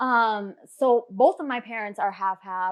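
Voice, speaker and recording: A normal speaking voice from a woman with an American accent, medium pitch and ordinary pitch variation against a quiet background. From Fargo, North Dakota, US. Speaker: business owner. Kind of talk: casual interview.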